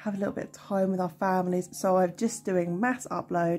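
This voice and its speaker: A woman talks at a medium pitch with a British accent. The recording is very clean, with a silent background. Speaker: budgeting vlogger. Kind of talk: casual vlog chat. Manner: hesitant with frequent ums.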